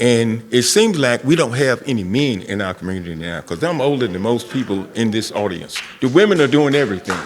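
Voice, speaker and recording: Speaking with a North Carolina accent, a man goes at a fairly quick pace with hardly any pauses. His pitch is medium, and there is noticeable background noise. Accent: Southern US, North Carolina. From US South. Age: 70s. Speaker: community member, Vietnam veteran. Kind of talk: public forum comment. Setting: school forum with audience.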